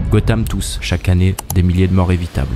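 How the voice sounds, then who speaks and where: Amid noticeable background noise, a man talks at a very fast pace with a very deep, low pitch and ordinary pitch variation. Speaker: YouTube essayist. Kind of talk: scripted narration.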